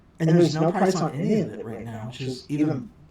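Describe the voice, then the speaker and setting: A woman talks at a fairly quick pace, her pitch swinging very widely. Noticeable background noise sits behind her. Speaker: card game unboxing youtuber. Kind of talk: casual unboxing commentary. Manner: fast; animated. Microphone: poor audio, OBS mic setup mistake.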